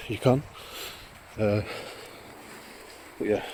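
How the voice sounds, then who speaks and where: Against noticeable background noise, a man with a fairly low pitch speaks fairly quickly with fairly even intonation. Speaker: hiking vlogger. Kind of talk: casual vlog narration while walking. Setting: outdoors on a coastal hike. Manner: halting, informal. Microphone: phone microphone.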